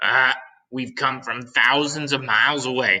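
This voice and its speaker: Using a put-on character voice, a man of medium pitch speaks at a moderate pace in a monotone, flat way. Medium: read story. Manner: cheeky, jokey.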